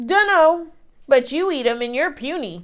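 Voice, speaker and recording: In a put-on character voice, a woman speaks loudly at a high pitch. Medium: read story. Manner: grumbling, loud.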